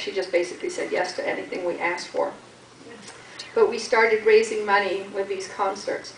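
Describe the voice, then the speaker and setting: With noticeable background noise and audible room echo, a woman speaks at a moderate pace with a fairly high pitch and lively intonation. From Canada. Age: 60s. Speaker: charity fundraiser. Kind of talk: talk to a group about her charity.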